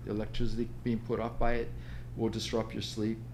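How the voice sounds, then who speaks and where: A man is speaking. Audible echo fills the room. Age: 60s. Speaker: author and health coach. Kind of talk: podcast interview.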